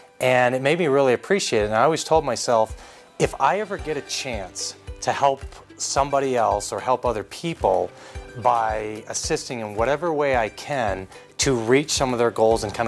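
A man talks at a moderate pace and a medium pitch with lively intonation. Music plays in the background. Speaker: charity auctioneer. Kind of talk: casual interview answer about his career. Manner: conversational, sincere.

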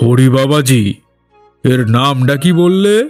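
A man's put-on character voice at medium pitch with ordinary pitch variation, faint music in the background. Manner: curious, questioning.

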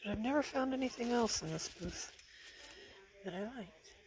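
Over noticeable background noise, a woman talks at a moderate pace and medium pitch. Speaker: vlogger and online reseller. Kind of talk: casual walkthrough narration. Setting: antique store, handheld camera.

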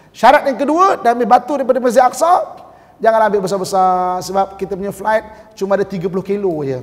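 This man talks at a moderate pace with a high pitch and lively intonation. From Malaysia. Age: middle-aged. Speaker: religious teacher. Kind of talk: mosque lecture. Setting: mosque. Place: hall. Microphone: podium.

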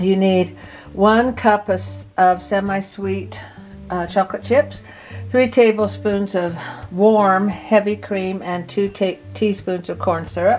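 Over faint background music, a woman speaks at a very slow pace with long, frequent pauses. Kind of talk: cooking tutorial. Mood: relaxed and friendly. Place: kitchen.

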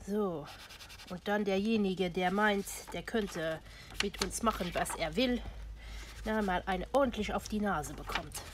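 Against noticeable background noise, a woman speaks at a fairly slow pace with ordinary pitch variation and long, frequent pauses. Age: old. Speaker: crafting YouTuber. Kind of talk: tutorial; casual tutorial chat. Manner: casual with frequent fillers. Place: home room. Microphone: phone near.

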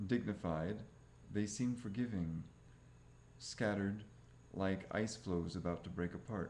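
A man speaks at fairly low pitch and a fairly slow pace, with ordinary pitch variation and very even loudness. His long, frequent pauses sit over light background noise. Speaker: reader of translated texts. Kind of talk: audiobook-style reading aloud of translated scripture. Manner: formal, even, deliberate. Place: home room. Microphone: webcam.

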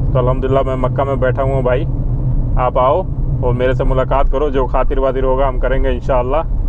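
Noticeable background noise accompanies a man talking at a moderate pace in a dry sound with no echo. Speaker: vlogger working abroad. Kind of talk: casual vlog chat. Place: car. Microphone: lapel.

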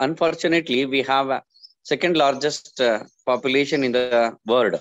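Over a quiet background, a man with an Indian accent talks at a fairly slow pace with ordinary pitch variation. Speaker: college staff giving vote of thanks. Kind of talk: vote of thanks. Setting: video call. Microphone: video call.

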